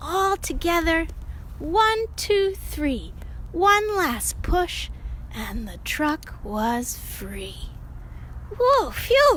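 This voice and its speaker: A female-sounding, put-on character voice at a very slow pace, with clear background noise. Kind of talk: children's read-aloud. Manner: upbeat, animated.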